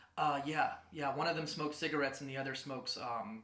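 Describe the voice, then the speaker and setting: Over noticeable background noise and audible room echo, a man talks fairly quickly at a fairly high pitch with fairly even intonation. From Ozark Mountains, rural Arkansas. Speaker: online gamer and military veteran. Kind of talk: casual podcast interview.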